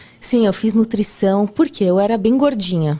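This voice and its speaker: A woman talks with lively intonation at a fairly high pitch. Hers is an unremarkable speaking voice. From Brazil, São Paulo. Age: 30s. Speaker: podcast guest, nutritionist and TV cooking contestant. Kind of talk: casual interview chat.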